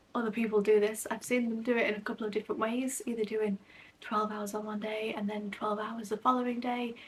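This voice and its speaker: A woman whispers at a fairly quick pace. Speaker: book vlogger. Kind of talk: casual vlog talk to camera. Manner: whispering.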